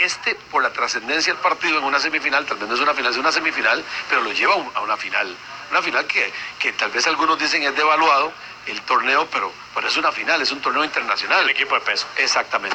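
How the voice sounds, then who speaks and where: Very fast pace and fairly even intonation over noticeable background noise. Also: man, fairly high pitch for a man. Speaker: radio sports commentator. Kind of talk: sports radio analysis.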